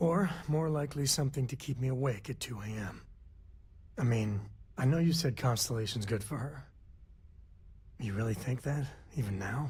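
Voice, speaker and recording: A man puts on a raspy character voice at a medium pitch with ordinary pitch variation. He speaks at a moderate pace with long, frequent pauses. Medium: video game. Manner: laid-back, wry.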